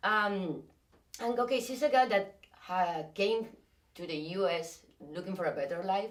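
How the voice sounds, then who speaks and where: In a Spanish accent, a woman talks at a fairly slow pace with lively intonation. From Spain. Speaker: actress. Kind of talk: interview. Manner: halting.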